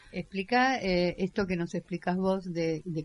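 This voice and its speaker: This woman has an unremarkable speaking voice, fairly low in pitch, delivered at a fairly slow pace with fairly even intonation. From Caseros, Buenos Aires area. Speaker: community radio co-host. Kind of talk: casual radio chat.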